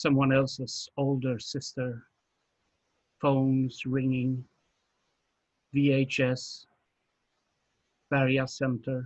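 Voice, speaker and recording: Breaking often into long pauses, a man talks at a very slow pace with a medium pitch, a somewhat breathy voice and monotone, flat intonation. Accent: Swedish. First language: Swedish. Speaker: poet. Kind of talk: poetry reading.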